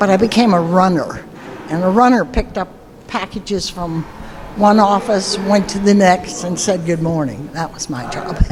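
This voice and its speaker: Here a woman talks at a moderate pace. There is noticeable background noise. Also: medium pitch for a woman, ordinary pitch variation. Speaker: marine corps veteran. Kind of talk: testimony.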